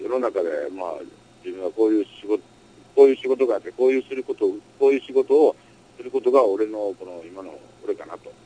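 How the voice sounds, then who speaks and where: A man speaks with a Kansai accent at a fairly quick pace, with long, frequent pauses and big swings in loudness. The sound is dry and close with no echo. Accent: Kansai (Osaka) dialect. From Osaka, Japan. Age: 30s. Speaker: adult-entertainment business owner. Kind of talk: interview. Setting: home music studio.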